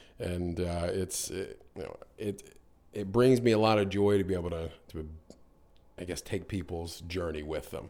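In an American accent, a man with a very deep, low pitch and a dark, mellow tone talks at a moderate pace with fairly even intonation. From US, North Carolina. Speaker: business owner in real estate/mortgage field. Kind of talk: casual interview. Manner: halting, many fillers and repetitions.

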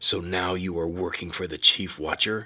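A man's put-on character voice, growling and strained, with a very deep, low pitch, flat monotone intonation, and a moderate pace. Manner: threatening, accusing.

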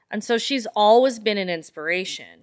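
A fairly high-pitched woman with a Canadian accent at a fairly quick pace, ordinary pitch variation, and a very clean recording with a silent background. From Calgary, Canada (Filipino family). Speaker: lingerie boutique owner. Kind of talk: casual interview chat. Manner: animated.

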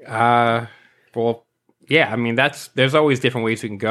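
A man with a New York accent talks at a fairly quick pace in a medium pitch. The recording is very clean, with a silent background. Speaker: sticker artist. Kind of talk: casual chat.

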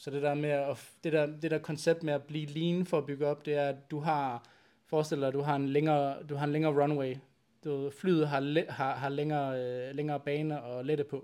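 On a very clean recording with a silent background, a man speaks at a moderate pace in a fairly high, dark, mellow voice with flat, monotone intonation. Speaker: bodybuilding podcast host, chiropractor. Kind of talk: casual chat. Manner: volume may be uneven.

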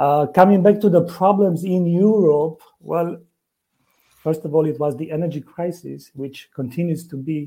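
Someone with a Romanian accent speaks in a dark, mellow tone with fairly even intonation. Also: man, fairly high pitch for a man, moderate pace, big swings in loudness. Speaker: forex trader. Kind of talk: podcast interview.

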